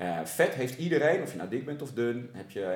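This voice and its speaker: An animated man's voice with audible room echo. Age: 40s. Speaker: sports coach. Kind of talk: casual interview. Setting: at a table in the host's home.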